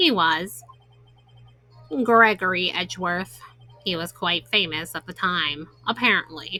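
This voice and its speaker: Doing a put-on character voice, a woman at a medium pitch moves at a fairly slow pace with long, frequent pauses while faint music plays in the background. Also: ordinary pitch variation. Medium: game stream. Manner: reserved, formal.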